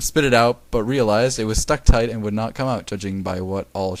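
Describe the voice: The speaker gives a plain reading aloud with ordinary pitch variation.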